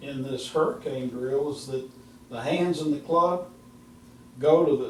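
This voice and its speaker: Someone speaks at a fairly slow pace with ordinary pitch variation. Audible room echo and noticeable background noise fill the recording. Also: man. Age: 70s. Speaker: golf instructor. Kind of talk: casual chat.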